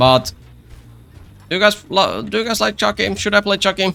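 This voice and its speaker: A man with a Finnish accent speaks fairly quickly at a medium pitch, his voice swinging very widely up and down over music in the background. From Finland. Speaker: gaming YouTuber. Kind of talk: gameplay commentary. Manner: repetitive filler-heavy speech; casual.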